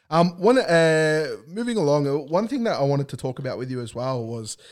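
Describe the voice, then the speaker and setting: Talking at a fairly quick pace with lively intonation, a man with an Australian accent is heard on a very clean recording with a silent background. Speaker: podcast host. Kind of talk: casual chat. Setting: studio.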